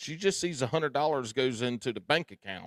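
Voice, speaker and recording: Dry and close with no echo, the recording captures a man at medium pitch with a Southern US accent. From US South, South Carolina. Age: 40s. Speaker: tournament angler, podcaster. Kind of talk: casual chat.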